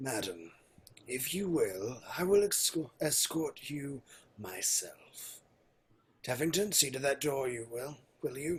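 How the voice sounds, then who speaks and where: A man's put-on character voice, fairly high in pitch, at a fairly slow pace with long, frequent pauses. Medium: audio drama. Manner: formal, authoritative.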